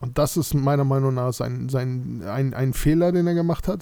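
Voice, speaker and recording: Pitch moves with ordinary variation. The tone comes across as dark and mellow. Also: man. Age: 30s. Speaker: football fan podcaster. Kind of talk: solo monologue podcast. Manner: hesitant, many fillers.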